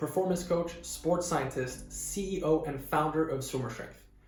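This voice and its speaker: A man talks at a moderate pace and fairly high pitch, keeping fairly even intonation over noticeable background noise. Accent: slight Swedish. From Sweden. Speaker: swimming performance coach. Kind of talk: personal story to camera.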